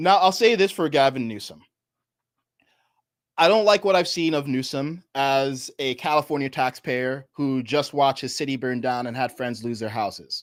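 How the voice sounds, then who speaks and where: An ordinary speaking voice from a man with an American accent, fairly high in pitch, at a moderate pace, in a very clean recording with a silent background. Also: ordinary pitch variation. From New York. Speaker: political commentator. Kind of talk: live stream commentary.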